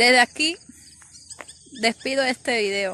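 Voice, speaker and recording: The sound is dry, with no echo. Pitch varies in an ordinary way. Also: woman. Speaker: vlogger abroad on mission. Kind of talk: casual vlog chat. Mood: earnest, patriotic, nostalgic. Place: open country. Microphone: phone near.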